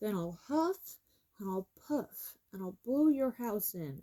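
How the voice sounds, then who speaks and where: The speaker is bellowing in a put-on character voice. The pace is fairly slow. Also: woman, medium pitch for a woman. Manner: roaring, threatening.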